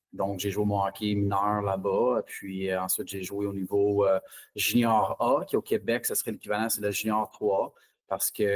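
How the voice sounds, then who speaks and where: With a Franco-Ontarian accent, a man speaks at a moderate pace in a fairly low pitch and monotone, flat intonation, the sound dry and close with no echo. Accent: Franco-Ontarian Canadian French. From Ontario, Orléans (east Ottawa), Franco-Ontarian. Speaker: junior hockey head coach. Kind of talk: interview. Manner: halting, many fillers and repetitions.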